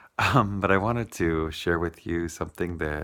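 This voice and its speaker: Fairly slow delivery with fairly even intonation. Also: man. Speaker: vlogger. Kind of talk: casual vlog. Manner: hesitant, many ums.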